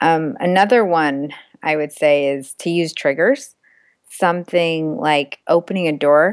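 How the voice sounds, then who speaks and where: A woman with an ordinary speaking voice, fairly low in pitch, fairly slow, with ordinary pitch variation. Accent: American. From US, raised from age two, Indian family. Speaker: mindfulness course founder, engineer, entrepreneur. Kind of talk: podcast interview.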